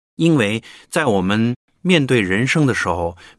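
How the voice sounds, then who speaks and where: Recorded very cleanly against a silent background with a dry, close sound and no echo, a man with a fairly low pitch speaks in very wide pitch swings. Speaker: radio host. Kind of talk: casual chat.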